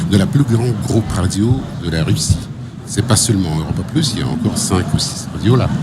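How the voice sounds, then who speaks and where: The pitch swings very widely. Audible room echo and noticeable background noise fill the recording. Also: man, fairly low pitch for a man, fairly quick pace. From Russia. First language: Russian (speaking French). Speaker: radio executive. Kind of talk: interview. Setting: radio studio at trade show. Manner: hesitant.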